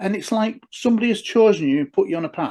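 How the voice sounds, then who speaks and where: Against a quiet background, a man with an English accent talks at a fairly quick pace with lively intonation. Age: 60s. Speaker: former police detective and UFO researcher. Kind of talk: interview conversation.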